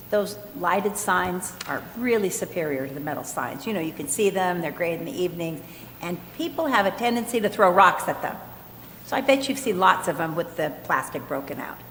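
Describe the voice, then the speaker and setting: A woman's lively intonation amid audible room echo and noticeable background noise. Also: medium pitch for a woman, fairly quick pace. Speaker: city council member. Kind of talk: council meeting discussion. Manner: loud.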